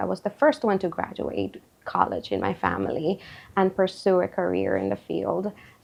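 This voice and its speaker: With a Spanish accent, a woman speaks at a moderate pace. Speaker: therapist. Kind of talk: interview testimony. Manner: halting, with fillers.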